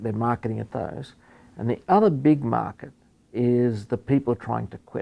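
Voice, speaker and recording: A man with an Australian accent speaks in a dark, mellow tone. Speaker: professor and epidemiologist. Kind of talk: interview. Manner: halting, many fillers and repeats.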